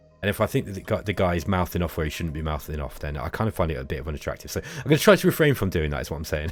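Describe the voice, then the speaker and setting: Over noticeable background noise, a man races along at a very fast pace with very wide pitch swings. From England, Derby. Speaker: gaming YouTuber. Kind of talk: gameplay commentary. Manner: casual, hesitant with many fillers.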